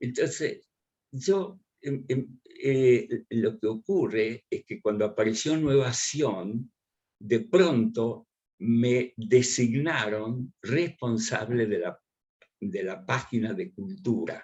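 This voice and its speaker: At a very slow pace, a man with a medium pitch speaks in a somewhat breathy voice with lively intonation. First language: Russian and Ukrainian, forgotten (speaking Spanish). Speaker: writer and journalist. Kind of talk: interview. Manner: halting, many fillers.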